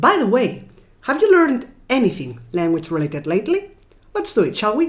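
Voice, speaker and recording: A woman's fairly high pitch with very wide pitch swings, vocal fry and a fairly quick pace. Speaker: gaming YouTuber. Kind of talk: gameplay commentary outro; casual explanation.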